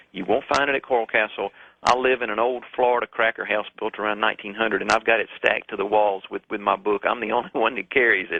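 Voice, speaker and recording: A man in a Southern US accent at medium pitch, fairly even in intonation, very fast with hardly any pauses. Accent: southern swamp. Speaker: author and researcher. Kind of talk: radio call-in interview.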